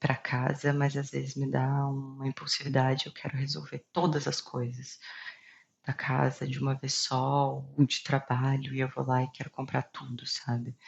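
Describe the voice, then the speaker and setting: A woman's very deep, low-pitched, somewhat breathy voice, monotone and flat, at a moderate pace. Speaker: video blogger sharing personal health story. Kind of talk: personal testimony to camera. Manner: hesitant with filler pauses.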